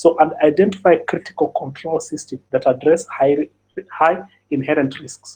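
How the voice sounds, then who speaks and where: A man with a high pitch. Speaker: cybersecurity audit expert. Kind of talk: webinar presentation. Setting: online webinar. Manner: fast; halting, many fillers and repetitions.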